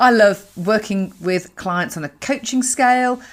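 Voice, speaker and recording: The recording is very clean, with a silent background. A woman with a fairly high voice speaks at a fairly slow pace. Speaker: coach and podcast host. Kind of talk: podcast monologue. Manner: upbeat, energetic.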